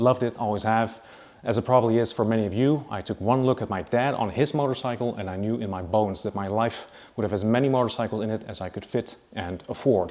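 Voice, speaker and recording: Talking at a very fast pace, a man with a Dutch accent keeps a fairly even intonation. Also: medium pitch for a man. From Netherlands. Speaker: motorcycle YouTuber and distributor. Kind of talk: casual video presentation.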